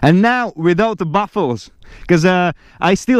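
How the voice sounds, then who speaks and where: A man with a non-native accent, high pitch and ordinary pitch variation. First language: Latvian. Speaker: motorcycle vlogger. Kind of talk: casual vlog talk. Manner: casual, halting with fillers.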